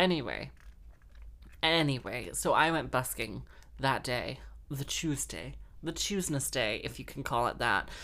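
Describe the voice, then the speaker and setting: In an animated tone, a woman with an American accent speaks at a moderate pace with a very deep, low pitch, vocal fry and ordinary pitch variation. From grew up in London and Texas, now Wales. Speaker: podcast host and harpist/busker. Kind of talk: casual monologue. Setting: home recording.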